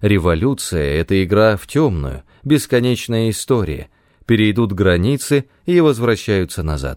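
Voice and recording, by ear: Here a natural voice reads some text aloud.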